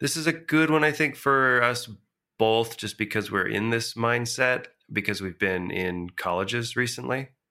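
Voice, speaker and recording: In a very clean recording with a silent background, a man speaks at a moderate pace in a medium pitch, with ordinary pitch variation and a bright, sharp tone. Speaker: podcast co-host, design professional. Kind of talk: casual chat.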